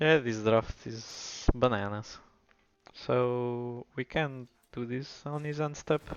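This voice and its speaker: A man's medium-pitched voice in a Portuguese accent, very slow and fairly even in intonation. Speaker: gaming streamer. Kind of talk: gameplay commentary. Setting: live stream.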